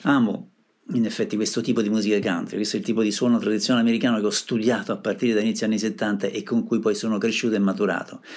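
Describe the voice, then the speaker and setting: Talking at a very fast pace, a man keeps his loudness very even. His medium pitch carries fairly even intonation. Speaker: radio music show host. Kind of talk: radio DJ presenting songs. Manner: casual, conversational.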